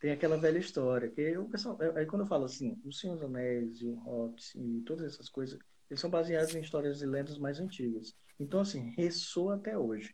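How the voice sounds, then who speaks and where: This man has a fairly high pitch and a dark, mellow, somewhat breathy tone. He talks at a fairly quick pace with lively intonation. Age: 20s. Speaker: IT professional, podcast co-host. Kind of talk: casual chat.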